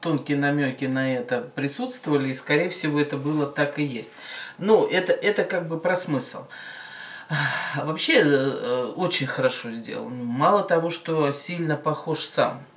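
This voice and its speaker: This woman's pitch is very deep and low. She talks at a fairly slow pace. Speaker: video reactor. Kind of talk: casual reaction commentary. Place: home room. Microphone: camera far.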